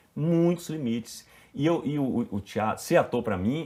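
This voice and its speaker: Heard on a very clean recording with a silent background, a man speaks with lively intonation. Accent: northeastern Brazilian. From Bahia, Brazil (Itabuna). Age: 50s. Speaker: actor. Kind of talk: casual interview.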